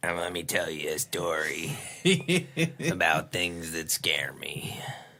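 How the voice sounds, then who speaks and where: Using a put-on character voice, a man speaks raspy and very deep at a fairly slow pace with ordinary pitch variation. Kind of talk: spooky storytelling voice. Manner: spooky storytelling.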